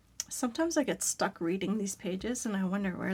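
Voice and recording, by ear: A woman speaks at a fairly quick pace. Her voice is raspy and medium in pitch.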